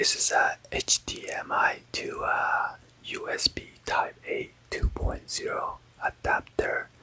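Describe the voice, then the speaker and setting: A man whispers in a soft-spoken, calm tone at a very slow pace. Noticeable background noise is present. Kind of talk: ASMR unboxing. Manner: soft, whispered, calm.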